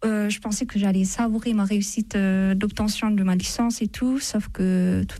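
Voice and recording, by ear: A woman with vocal fry speaks at a medium pitch and moderate pace, her tone dark and mellow, her pitch moving little and her pauses few.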